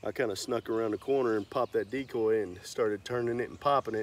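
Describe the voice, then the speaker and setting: A man talking at a fairly quick pace, the sound dry with no echo. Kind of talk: casual hunting vlog talk. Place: open country. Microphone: camera far.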